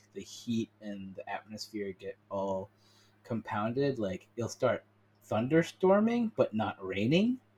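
A man with a plain, everyday voice at a fairly slow pace, the sound dry and close with no echo. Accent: American. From US (Colorado, East Coast). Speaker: podcast host. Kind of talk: casual interview chat.

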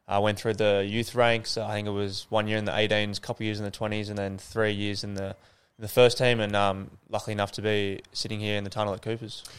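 Fairly low male voice with an Australian accent, fairly quick and monotone, flat in intonation. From Sydney, Northern Beaches. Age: young. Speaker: professional footballer. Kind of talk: casual interview. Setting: stadium tunnel.

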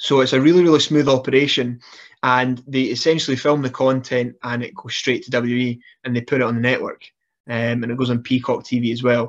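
A man's medium-pitched, monotone, flat voice with a Scottish accent, at a fairly quick pace against a quiet background. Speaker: professional wrestler. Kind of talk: casual interview chat.

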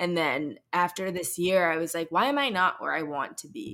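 In a very clean recording with a silent background, a woman with an American accent speaks at a moderate pace and a fairly low pitch. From US Midwest, Saint Louis. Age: 20s. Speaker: podcast host. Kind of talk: interview.

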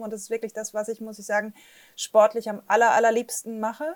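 The intonation stays monotone and flat. The sound is dry and close, with no echo. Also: woman. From northern Germany, Flensburg. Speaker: startup investor network director. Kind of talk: interview.

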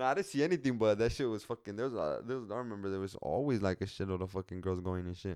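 Speaking at a very fast pace with hardly any pauses, a man with a fairly low pitch and ordinary pitch variation comes through on a very clean recording with a silent background. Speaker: podcast host. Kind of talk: casual solo monologue. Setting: studio, recording alone.

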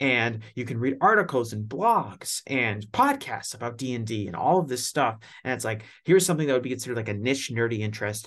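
In a normal speaking voice, a man talks at a fairly quick pace, with medium pitch and ordinary pitch variation. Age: 20s. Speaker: podcast host. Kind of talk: scripted narration; casual chat.

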